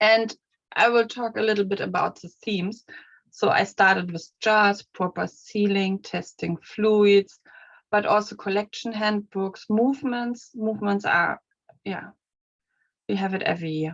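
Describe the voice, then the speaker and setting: Speaking with a German accent, a woman talks at a fairly slow pace in a medium pitch with fairly even intonation. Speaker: museum collection manager. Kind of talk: conference presentation. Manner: halting.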